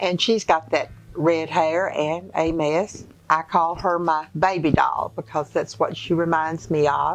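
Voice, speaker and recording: A woman speaks at a fairly slow pace with a fairly low pitch and fairly even intonation. Her loudness stays very even, with music in the background. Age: 80s+. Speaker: great-grandmother. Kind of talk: interview answer.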